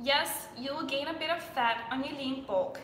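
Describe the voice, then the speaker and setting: Over noticeable background noise and audible room echo, a woman with a Danish accent speaks in a raised, projected voice, high-pitched, with ordinary pitch variation and a fairly slow pace. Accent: Danish-accented English, self-described weird. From Denmark. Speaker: fitness influencer. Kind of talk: live stream Q&A. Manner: casual, chatty.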